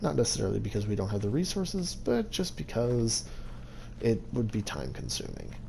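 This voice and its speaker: Fairly quick speech with audible room echo. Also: man. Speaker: gaming youtuber. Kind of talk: game walkthrough narration. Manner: halting.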